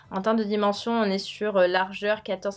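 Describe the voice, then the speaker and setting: With music behind her, the woman talks in a fairly high voice. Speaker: lifestyle youtuber. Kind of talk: product review vlog. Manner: fast; casual with many fillers.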